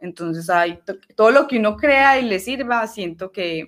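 At a moderate pace, a woman with a fairly high pitch uses an ordinary speaking voice. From Colombia, Medellín (Antioquia). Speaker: archer. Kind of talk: casual interview.

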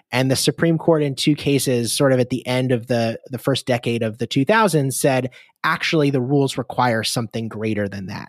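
A man with an American accent speaks in an unremarkable speaking voice at a medium pitch, barely pausing. His pitch varies in an ordinary way, and the sound is dry and close with no echo. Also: fairly quick pace. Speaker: law professor. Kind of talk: interview. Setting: video call.

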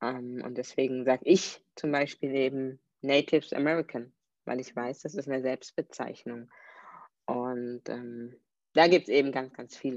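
A woman speaks at a fairly slow pace with a very deep, low pitch, fairly even intonation and big swings in loudness against a quiet background. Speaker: podcast host. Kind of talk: solo podcast monologue. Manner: hesitant, many filler sounds.

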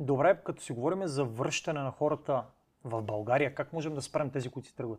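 A man with a fairly high pitch and a somewhat breathy voice talks at a moderate pace, his pitch varying in an ordinary way while his loudness swings widely. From Bulgaria, Cherven Bryag. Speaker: podcast host. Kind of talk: casual interview.

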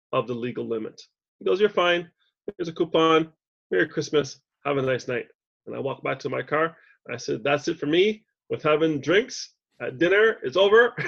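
With a Canadian accent, a man talks at a fairly quick pace and a fairly high pitch. His intonation is lively, broken by long, frequent pauses. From Canada, Montreal. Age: 50s. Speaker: business consultant. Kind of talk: podcast interview.

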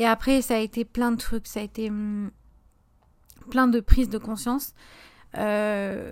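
On a very clean recording with a silent background, a woman speaks at a very slow pace with long, frequent pauses. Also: fairly high pitch for a woman. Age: 20s. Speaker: podcast host and small business owner. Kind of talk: casual solo podcast monologue.

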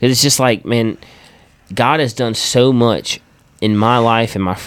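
The man talks at a fairly slow pace. His pitch is medium, with ordinary variation. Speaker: worship leader and podcast host. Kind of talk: casual chat. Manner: animated, informal.

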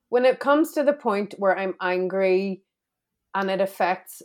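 Speaking at a fairly slow pace, a woman with a Belfast accent has a medium pitch. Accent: Belfast Northern Irish. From Northern Ireland, Belfast. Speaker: entrepreneur and coach. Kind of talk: casual interview.

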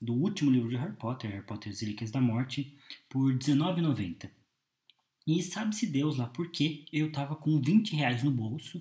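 A man talks at a moderate pace with a fairly high pitch and lively intonation. His tone is dark and mellow, and somewhat breathy. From Brazil, Curitiba. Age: 20s. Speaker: podcast host. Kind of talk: solo monologue. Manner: hesitant, many filler 'é'.

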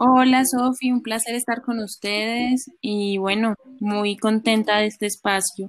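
A woman with a fairly high voice talks at a fairly slow pace, keeping her intonation fairly even. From Colombia, Chocó (Quibdó). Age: 20s. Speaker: law student. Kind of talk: interview. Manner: hesitant, many fillers.

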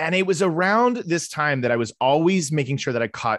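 A man speaks at a fairly quick pace in an animated tone. The background is quiet. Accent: American. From Tulsa, Oklahoma. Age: 40s. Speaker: actor and comedian. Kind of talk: casual chat.

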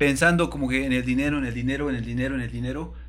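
A man speaks with a Mexican accent, and the room echo is audible. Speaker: podcast host. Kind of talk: casual chat.

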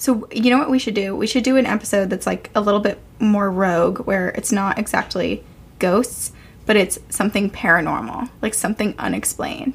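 Vocal fry from a woman at medium pitch, with ordinary pitch variation and a fairly quick pace. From Vermont, Burlington. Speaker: podcast co-host. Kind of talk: casual chat.

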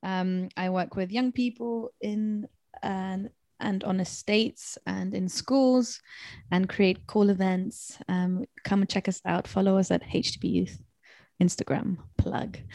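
Very slowly and somewhat breathily, the voice carries a dark, mellow tone with ordinary pitch variation, recorded dry and close with no echo and a silent background in a very clean recording. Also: woman, medium pitch for a woman. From Argentina and England (moved to UK 2005). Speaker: youth pastor. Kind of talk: casual chat.

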